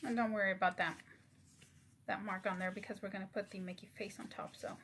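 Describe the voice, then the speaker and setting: A woman speaks at a very fast pace and a medium pitch. Her intonation is fairly even. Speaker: craft YouTuber. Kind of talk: tutorial. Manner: soft-spoken; halting.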